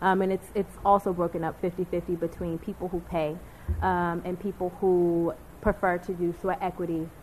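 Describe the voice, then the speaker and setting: Against a quiet background, a woman with a fairly low pitch sounds somewhat breathy. Her intonation is monotone and flat. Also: moderate pace. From Baltimore. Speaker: food justice consultant. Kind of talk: panel discussion.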